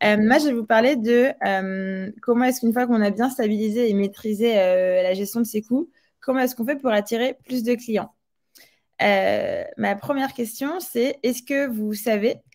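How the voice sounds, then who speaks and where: At a fairly high pitch and fairly slow pace, a woman speaks in a plain, everyday voice with ordinary pitch variation. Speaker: tech company CEO. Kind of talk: webinar presentation. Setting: online webinar.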